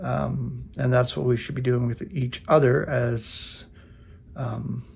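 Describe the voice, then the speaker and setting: There is noticeable background noise. A man speaks at a very slow pace. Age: 60s. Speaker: Bible teacher, YouTuber. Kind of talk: casual Bible word study. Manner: casual, halting with fillers.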